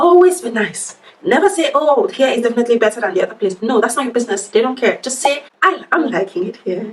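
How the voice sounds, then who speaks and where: A woman's high voice at a very fast pace with very wide pitch swings, amid noticeable background noise. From Nigeria. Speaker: workplace advice vlogger. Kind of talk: casual chat. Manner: animated.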